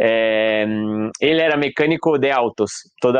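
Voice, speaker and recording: This man speaks with a Brazilian accent at a fairly slow pace. His intonation stays fairly even. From Brazil, São Paulo. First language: Portuguese (speaking Spanish). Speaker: mask maker and theatre artist. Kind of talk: interview. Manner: hesitant, with fillers.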